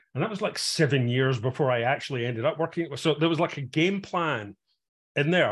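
A man speaks at a fairly quick pace in a fairly high voice, somewhat breathy. The recording is very clean, with a silent background. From Scotland, Glasgow. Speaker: tech executive and investor. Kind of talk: interview. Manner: halting, many fillers.

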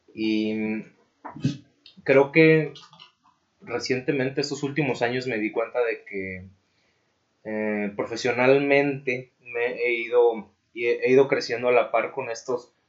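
A man speaks with a Mexican accent at a medium pitch. His pace is fairly slow and his intonation fairly even. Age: 20s. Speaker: civil engineer and blogger. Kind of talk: casual interview. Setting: recording studio.

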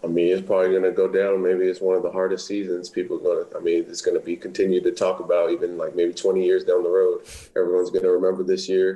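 Barely pausing at all, the words pour out very fast. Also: man. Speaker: college football player, draft prospect. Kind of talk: interview.

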